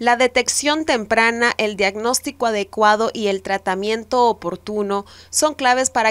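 A woman speaks at a fairly slow pace in an ordinary speaking voice, fairly high in pitch with ordinary pitch variation, in a dry, close sound with no echo. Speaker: TV news reporter. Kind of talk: news narration.

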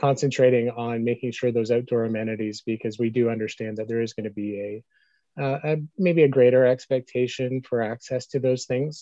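The delivery is fairly quick, with fairly even intonation. The sound is dry with no echo, over a quiet background. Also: man. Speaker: town staff member reporting. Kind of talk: meeting report. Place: home room. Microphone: video call.

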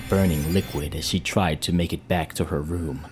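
A man with a very deep, low pitch speaks in a calm tone with ordinary pitch variation. Music plays in the background. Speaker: storyteller / ASMR reader. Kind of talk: creepypasta story reading. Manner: calm, narrative.

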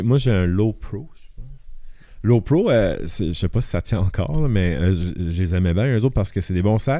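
A man's dark, mellow tone at a moderate pace against a quiet background. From Acadian Peninsula, northern New Brunswick (Shippagan); New Brunswick. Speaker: photographer; podcast guest. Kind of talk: casual chat. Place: studio. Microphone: studio mic.

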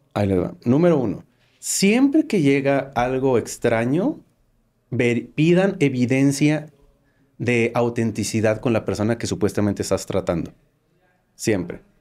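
A man talks at a fairly slow pace with long, frequent pauses, his medium-pitched voice dark and mellow with lively intonation. The recording is very clean, with a silent background. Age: 40s. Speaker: cybersecurity expert, ex-hacker. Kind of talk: interview.

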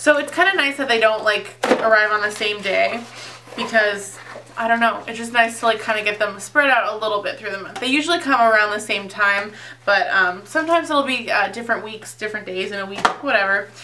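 Over noticeable background noise, a woman with a fairly high pitch talks at a fairly quick pace, with ordinary pitch variation and big swings in loudness. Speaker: beauty YouTuber. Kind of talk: product unboxing review. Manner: casual, filler-heavy. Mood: cheerful, enthusiastic. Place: home room. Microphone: phone near.

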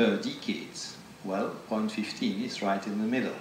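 Flat and monotone, a man speaks with audible room echo and light background noise. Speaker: invited lecturer. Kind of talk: lecture. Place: hall.

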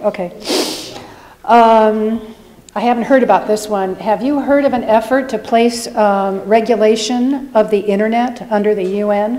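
A woman's normal speaking voice, fairly high in pitch, with fairly even intonation and a fairly slow pace. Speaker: audience member. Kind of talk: audience question. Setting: live event with audience. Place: hall. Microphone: podium.

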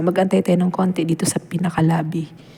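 Over noticeable background noise, a woman speaks at a medium pitch with fairly even intonation. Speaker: travel vlogger. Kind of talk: travel vlog narration.

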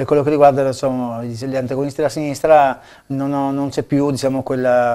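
Over a quiet background, the speaker talks at a fairly quick pace with a dark, mellow tone and monotone, flat intonation. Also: man. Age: 50s. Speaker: local election candidate; candidate. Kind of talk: TV interview. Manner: halting, many fillers and repetitions. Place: studio. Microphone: lapel.

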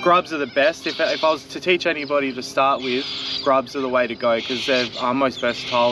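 Over faint background noise, a man at a medium pitch talks at a moderate pace with a bright, sharp tone.

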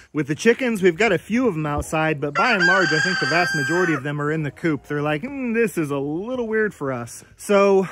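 A man at a fairly quick pace with hardly any pauses, over loud background noise. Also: dry sound with no echo. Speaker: farmer vlogger. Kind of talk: casual vlog chat. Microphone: phone near.

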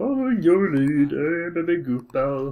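A put-on character voice at middle pitch and a moderate pace. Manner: goofy, silly.

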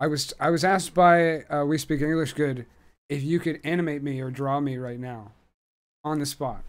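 A man with an unremarkable speaking voice, fairly high in pitch, at a moderate pace with fairly even intonation. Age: 30s. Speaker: podcast host. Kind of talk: casual interview. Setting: video call.

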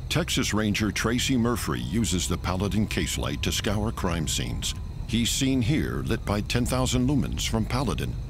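A man's very deep, low voice with very wide pitch swings and very even loudness, at a moderate pace, dry with no echo, music in the background. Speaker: voice actor. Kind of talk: TV commercial read. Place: studio. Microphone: studio mic.

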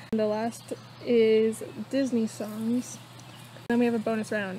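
A woman at a fairly slow pace, with fairly even intonation, light background noise and a dry sound free of echo. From Canada. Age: 20s. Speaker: vlogger host. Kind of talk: casual talk to camera. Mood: cheerful. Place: garden. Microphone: camera far.

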